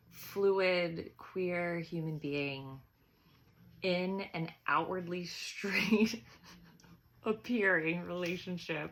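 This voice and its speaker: Speaking very slowly with long, frequent pauses, a woman uses a fairly low pitch and ordinary pitch variation. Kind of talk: casual talk to camera.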